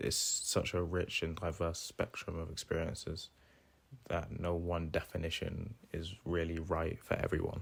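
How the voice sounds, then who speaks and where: On a very clean recording with a silent background, a man speaks with a very deep, low pitch and a somewhat breathy quality. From England, Corby (Northamptonshire). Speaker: university student. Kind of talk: interview.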